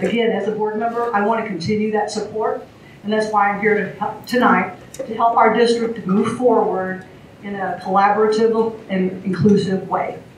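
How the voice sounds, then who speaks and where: A woman with an American accent and a fairly high pitch speaks at a moderate pace in a monotone, flat intonation, with noticeable background noise and audible room echo. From rural Missouri, US Midwest. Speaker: school board candidate. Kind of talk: candidate forum opening statement. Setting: public forum with audience.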